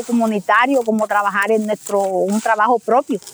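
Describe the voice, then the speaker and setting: A woman speaks at a moderate pace, with a dry, close sound free of echo and noticeable noise behind her. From Colombian Caribbean, Montes de María. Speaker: rural teacher and community leader. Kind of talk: interview testimony.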